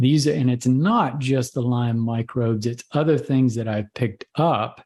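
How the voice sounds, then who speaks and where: With a plain, everyday voice at medium pitch, a man speaks at a fairly slow pace and with fairly even intonation. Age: 60s. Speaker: physician. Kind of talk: interview.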